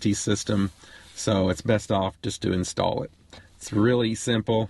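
A somewhat breathy voice at a moderate pace with fairly even intonation, in a dry sound with no echo. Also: man. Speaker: RV travel vlogger. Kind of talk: tutorial. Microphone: phone near.

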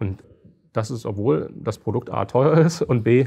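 A man speaks with vocal fry and a dark, mellow tone. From eastern Germany, Halle (Saale). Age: 40s. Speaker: company founder and CEO. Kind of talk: interview.

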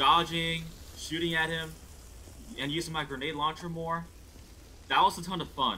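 Moderate-paced speech with long, frequent pauses over light background noise. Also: man, fairly high pitch for a man. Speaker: gaming YouTuber; gamer streamer. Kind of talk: let's play commentary. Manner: excitable, repeats words. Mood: pleased, enthusiastic. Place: home room. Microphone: headset.

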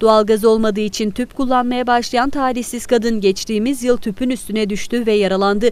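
A woman talks in a normal speaking voice at a moderate pace. Her pitch is fairly high and her intonation fairly even. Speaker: news reporter. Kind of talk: TV news narration.

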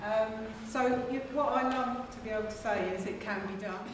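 Loud background noise and audible room echo surround a woman's voice. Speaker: conference presenter. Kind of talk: lecture. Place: hall. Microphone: camera far.

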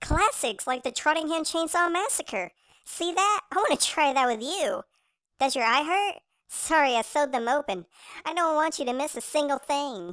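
Speaking at a moderate pace, a woman uses a put-on character voice pitched high. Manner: sweetly menacing, giddy.

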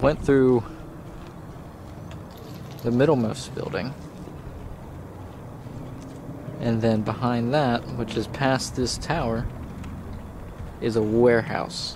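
A man talks at a very slow pace with long, frequent pauses and fairly even intonation. The sound is dry with no echo, though noticeable background noise comes through. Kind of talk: casual vlog narration. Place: open country. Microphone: phone near.

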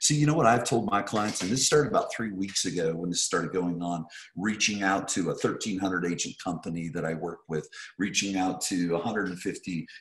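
The pace is moderate, with ordinary pitch variation. Room echo is audible. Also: man. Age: 50s. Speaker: real estate coach. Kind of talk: webinar presentation. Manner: animated. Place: home room. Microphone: video call.

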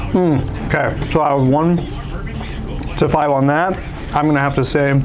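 With clear music in the background, a man speaks at a moderate pace with fairly even intonation. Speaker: company staff reviewing tacos. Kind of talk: casual food review chat. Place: cafe. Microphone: lapel.

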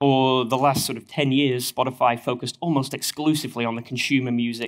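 A man with a northern English accent talks at a fairly quick pace with fairly even intonation. The background is quiet. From northern England. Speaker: engineering manager. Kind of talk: conference talk. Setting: stage with audience. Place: hall. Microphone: headset.

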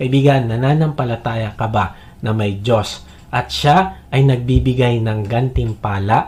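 A man speaks at a fairly slow pace with a Filipino accent. His pitch is medium, with ordinary variation. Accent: Filipino-accented English, Tagalog speaker. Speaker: preacher. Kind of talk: sermon. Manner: earnest, persuasive, direct appeals to the listener; steady, teaching pace with Bible quotations.

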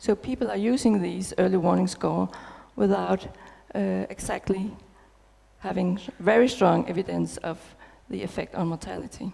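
A woman with a Danish accent at a moderate pace, with long, frequent pauses. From Denmark. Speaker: nurse researcher. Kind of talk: conference talk. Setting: stage with audience. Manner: hesitant with fillers. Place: hall. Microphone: headset.

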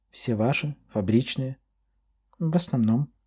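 Recorded very cleanly against a silent background, a man with a somewhat breathy, dark, mellow tone speaks fairly slowly with lively intonation. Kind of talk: literary audiobook reading, scripted narration of a novel. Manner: measured, expressive storytelling pace.

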